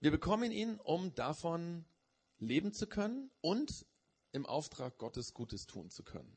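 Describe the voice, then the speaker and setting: The pitch swings very widely. Loudness also rises and falls in big swings. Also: man, high pitch for a man. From Germany. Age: 40s. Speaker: preacher. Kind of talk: sermon. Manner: hesitant, many filler sounds.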